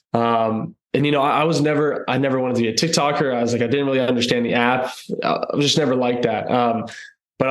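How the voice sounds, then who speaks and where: A man with a Texan accent talks at a very fast pace in a medium pitch, his intonation fairly even and his loudness very even, with audible room echo. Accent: Texan American. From Texas, North Austin. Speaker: country singer. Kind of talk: casual interview.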